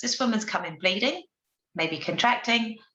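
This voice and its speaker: A woman speaks with a fairly high pitch and vocal fry. There is audible room echo. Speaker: obstetrician presenting a webinar. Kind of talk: lecture. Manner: fast.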